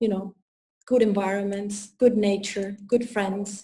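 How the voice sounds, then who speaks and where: Her voice is dark, mellow and somewhat breathy, with an Italian accent. The woman's intonation stays monotone and flat. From Italy. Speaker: personal development coach. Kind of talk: interview. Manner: halting.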